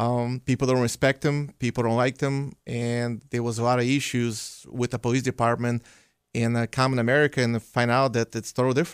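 The intonation is monotone and flat. The sound is dry and close with no echo, on a very clean recording with a silent background. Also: man, medium pitch for a man. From Belarus. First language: Russian or Belarusian. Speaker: police officer. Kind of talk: radio interview.

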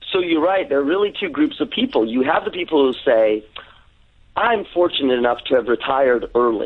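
A man with lively intonation and a fairly high pitch uses an ordinary speaking voice. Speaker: clinical psychologist. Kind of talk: radio interview.

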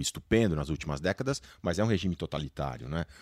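A man rattles along at a very fast pace with ordinary pitch variation. The sound is dry and close, with no echo. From Brazil. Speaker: science journalist. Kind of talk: panel discussion.

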